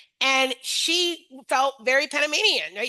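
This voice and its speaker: In a dry, close sound with no echo, a woman with an American accent speaks at a high pitch. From US East Coast. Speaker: webinar host and early childhood educator. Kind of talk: webinar discussion. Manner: conversational, many fillers.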